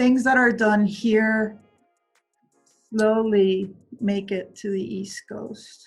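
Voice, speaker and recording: Soft-spoken and fairly high-pitched, a woman talks at a very slow pace in a monotone, flat intonation with long, frequent pauses. Her loudness swings widely, and music plays in the background. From Venezuela. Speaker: construction executive. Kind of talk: interview answer.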